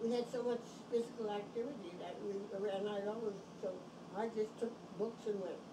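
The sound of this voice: Clear background noise sits behind speech at a fairly quick pace with fairly even intonation. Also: woman, medium pitch for a woman.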